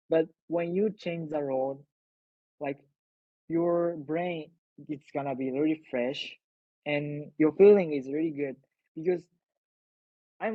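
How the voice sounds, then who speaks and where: A man with a Japanese accent, a fairly high voice, ordinary pitch variation, and long, frequent pauses. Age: 20s. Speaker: invited speaker. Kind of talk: talk to online audience. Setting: video call. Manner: halting.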